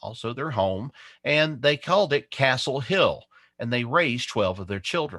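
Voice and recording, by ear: The speaker reads aloud in a natural voice, the intonation lively throughout.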